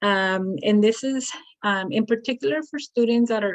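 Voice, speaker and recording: A woman with a fairly high pitch speaks at a moderate pace with lively intonation. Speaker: community college counselor. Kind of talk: presentation. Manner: halting.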